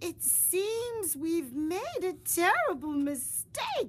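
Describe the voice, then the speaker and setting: A woman does a put-on character voice at an extremely high pitch, talking at a very slow pace with very wide pitch swings. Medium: read story. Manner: blunt, gruff.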